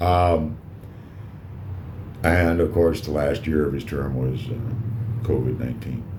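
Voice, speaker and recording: Loud and very slow, a man with a very deep, low voice speaks with very wide pitch swings and long, frequent pauses amid audible room echo. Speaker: cigar reviewer and vlogger. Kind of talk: casual monologue vlog. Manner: halting, many fillers.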